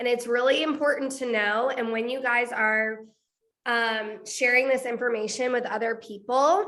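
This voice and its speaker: There is audible room echo around a woman speaking in a high pitch. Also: moderate pace. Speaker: network marketing trainer. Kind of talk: training call presentation. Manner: animated.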